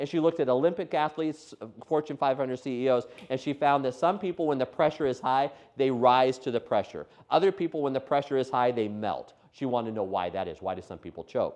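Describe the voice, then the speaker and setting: A man speaks at a very fast pace with lively intonation. His voice sits at a medium pitch. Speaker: education trainer. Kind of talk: workshop lecture.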